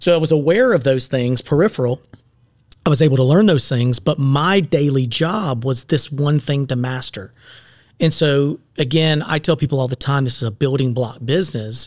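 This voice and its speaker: In an American accent, a man with a plain, everyday voice speaks at a moderate pace, his fairly high pitch showing ordinary variation. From US South, upstate South Carolina. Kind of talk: casual chat.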